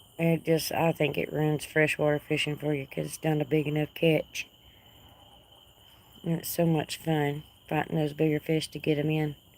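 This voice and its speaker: In a Texas accent, a woman with a very deep, low pitch speaks at a moderate pace in a monotone, flat intonation, leaving long, frequent pauses. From North Texas. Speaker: livestream host. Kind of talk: casual chat. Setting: outdoors.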